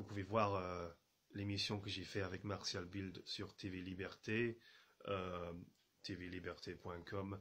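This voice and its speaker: Here a man speaks at a fairly low pitch. His pace is fairly slow. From England. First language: English (speaking French). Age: 30s. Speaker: journalist and radio producer. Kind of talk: video message to viewers. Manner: halting, many fillers and repetitions.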